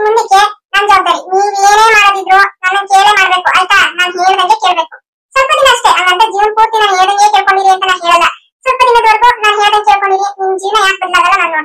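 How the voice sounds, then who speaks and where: A woman uses a cartoonish character voice at an extremely high pitch, speaking at a fairly quick pace with fairly even intonation. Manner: confident, persuasive, reassuring.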